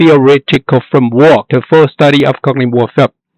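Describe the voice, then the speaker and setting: Male voice in a Chinese accent, dry and close with no echo. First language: Mandarin Chinese. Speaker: academic researcher. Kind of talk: recorded lecture. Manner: halting, many fillers.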